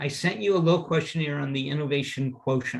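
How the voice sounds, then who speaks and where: Fairly even in intonation, the voice has a somewhat breathy quality. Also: man. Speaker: presenter and teacher on company culture. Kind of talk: lecture.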